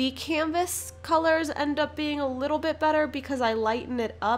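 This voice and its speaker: This is a woman speaking with ordinary pitch variation. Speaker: art youtuber. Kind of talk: voice-over tutorial narration. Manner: hesitant, many fillers.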